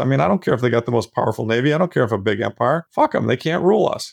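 Speech races along at a very fast pace with lively intonation. The sound is dry and close, with no echo. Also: man, quiet background. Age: 60s. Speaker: investment manager. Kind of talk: casual interview conversation.

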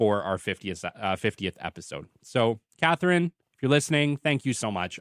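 A plain, everyday voice speaks with a Canadian accent at a fairly quick pace with ordinary pitch variation. The recording is very clean, with a silent background. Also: man. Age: 30s. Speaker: podcast host, business development consultant. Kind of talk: solo podcast monologue. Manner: casual, conversational.

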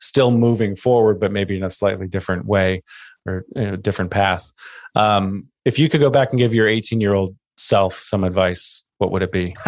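Using a normal speaking voice, a man talks with ordinary pitch variation. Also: fairly low pitch for a man, moderate pace, quiet background. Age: 40s. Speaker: podcast host. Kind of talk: casual chat.

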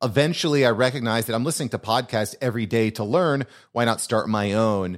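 A man's medium-pitched, unremarkable speaking voice with ordinary pitch variation, on a very clean recording with a silent background. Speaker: podcast agency founder and podcast host. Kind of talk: casual interview chat.

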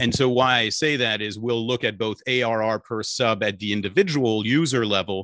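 With a slight French accent, a man speaks at a fairly low pitch in a bright, sharp tone and fairly even intonation, on a very clean recording with a silent background. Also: dry, close sound with no echo. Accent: slight French-tinged English. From Belgium. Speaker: startup finance chief. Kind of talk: interview conversation.

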